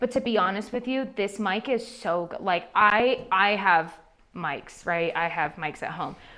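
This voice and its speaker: A loud, animated voice with a bright, sharp tone, ordinary pitch variation and a fairly slow pace. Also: woman, medium pitch for a woman. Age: 30s. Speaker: social media marketing speaker. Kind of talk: seminar Q&A.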